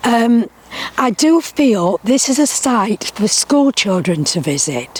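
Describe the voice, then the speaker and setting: A woman talks at a very slow pace, her fairly high pitch making very wide swings. The sound is dry and close with no echo, and there is noticeable background noise. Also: very even loudness. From Derbyshire, England (early childhood in Barnsley, Yorkshire). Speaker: retired teacher, miner's daughter. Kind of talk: oral history interview. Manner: hesitant with fillers.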